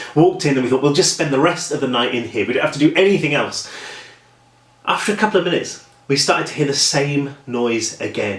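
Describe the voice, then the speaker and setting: Talking at a very fast pace with a British accent and lively intonation, the speaker sounds through audible room echo and noticeable background noise. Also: man. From England, Norwich. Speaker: horror author. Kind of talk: casual vlog storytelling. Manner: chatty, talks a lot.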